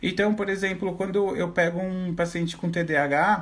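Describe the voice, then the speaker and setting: A man's high-pitched voice comes with audible room echo. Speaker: teacher and visual therapist. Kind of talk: online lecture. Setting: Instagram live, standing at whiteboard.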